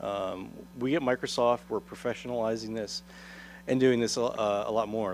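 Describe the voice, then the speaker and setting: Medium in pitch, a man talks at a fairly quick pace with fairly even intonation. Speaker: threat intelligence analyst. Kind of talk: conference talk. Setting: conference stage with audience. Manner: fast.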